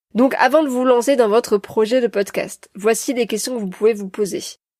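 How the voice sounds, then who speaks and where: The recording is very clean and the background silent. Delivery is fairly quick, and the pitch varies in an ordinary way. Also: woman. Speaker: podcast host and coach. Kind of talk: solo podcast talk. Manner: hesitant, many fillers.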